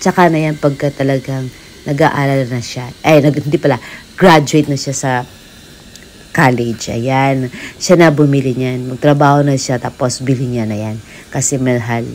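A woman speaks at a moderate pace. Her pitch is very deep and low. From Philippines. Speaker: vlogger. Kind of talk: casual shopping vlog; casual vlog chat. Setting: in an electronics store. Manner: animated. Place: shop. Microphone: phone near.

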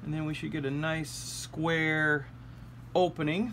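At a fairly slow pace, a man talks over light background noise. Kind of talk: tutorial. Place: workshop. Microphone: phone near.

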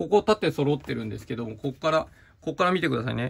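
A man with a fairly high pitch and vocal fry speaks with lively intonation. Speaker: stationery reviewer. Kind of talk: product review video. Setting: video with items shown on desk. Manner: explanatory, filler-heavy.

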